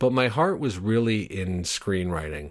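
In a very clean recording with a silent background, a man speaks with an ordinary speaking voice. His pace is moderate and his pitch varies in an ordinary way. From Upstate New York. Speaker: stand-up comedian and TV writer. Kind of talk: personal monologue.

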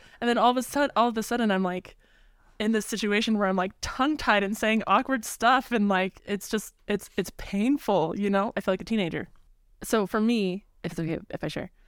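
In a very clean recording with a silent background, a woman with an ordinary speaking voice and a medium pitch talks at a fairly quick pace with ordinary pitch variation. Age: 20s. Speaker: music education student. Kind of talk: casual chat.

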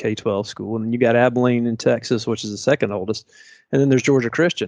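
A man with a Southern US accent at a medium pitch, ordinary pitch variation, and a very fast pace. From Tennessee (Chattanooga). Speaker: private school president. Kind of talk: interview.

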